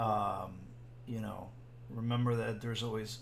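Speaking slowly and somewhat breathily, a man with a fairly low pitch keeps a monotone, flat intonation while the room echo is audible. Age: 40s. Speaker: podcast co-host. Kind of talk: casual chat.

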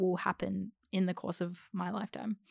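A woman with an Australian accent speaks at a moderate pace and medium pitch, the recording very clean with a silent background and a dry, close sound with no echo. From Australia (Melbourne). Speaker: actor and theatre co-director. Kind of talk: casual chat.

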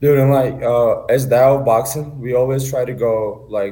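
A man with a medium pitch speaks with a Turkish accent. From Turkey. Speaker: amateur boxer. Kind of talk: interview.

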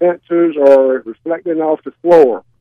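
A man with a plain, everyday voice speaks at a moderate pace, his fairly high pitch carried by fairly even intonation. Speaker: caller. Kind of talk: radio call-in question. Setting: phone call.

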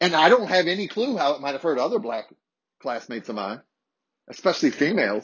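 Speaking at a very fast pace in an American accent, a loud man with a fairly high pitch uses vocal fry and very wide pitch swings, broken up by long, frequent pauses. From Harrisonburg, Virginia, US. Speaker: podcast host. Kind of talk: solo podcast storytelling, casual and confessional. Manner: loud, animated.

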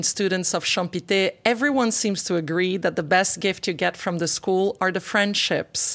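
A woman with a normal speaking voice talks at medium pitch and a moderate pace, with very even loudness and hardly any pauses. The recording is very clean, with a silent background. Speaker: podcast host. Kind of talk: interview, host questions.

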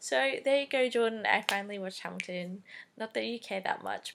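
A woman with an Australian accent, animated in tone, at a moderate pace. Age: 20s. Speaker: podcast host. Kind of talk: casual solo chat. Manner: animated, laughing often.

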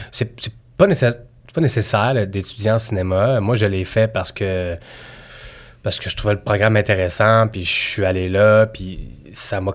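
With a Quebec accent, a man speaks at a fairly low pitch with ordinary pitch variation. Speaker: assistant director. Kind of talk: casual chat.

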